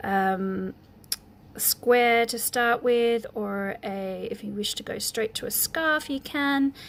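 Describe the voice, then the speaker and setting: A woman's high-pitched voice with lively intonation at a very slow pace. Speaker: crochet teacher. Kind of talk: tutorial. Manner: halting, many ums; casual, chatty.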